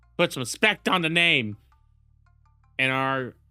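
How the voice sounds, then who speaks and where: A man is speaking with a medium pitch. Music can be heard behind him. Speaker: gaming YouTuber. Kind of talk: live stream commentary. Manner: halting.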